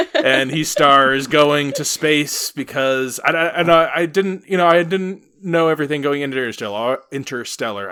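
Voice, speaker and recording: A man puts on a character voice, fairly high in pitch and mumbling. He talks at a moderate pace with hardly any pauses. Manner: slurring and mumbling.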